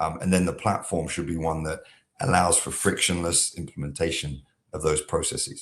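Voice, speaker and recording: With an American accent, the speaker talks at a moderate pace. The intonation stays fairly even. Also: man, very deep, low pitch for a man. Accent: British accent, now half American. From southeast England. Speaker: software company founder. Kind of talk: podcast interview. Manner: many filler words (um, uh).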